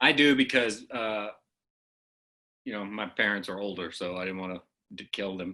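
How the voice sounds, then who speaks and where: A man with a fairly low pitch and a bright, sharp tone speaks at a moderate pace, with long, frequent pauses. His loudness swings widely, and the recording is very clean with a silent background. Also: ordinary pitch variation. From Oklahoma. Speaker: comedian. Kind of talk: casual chat.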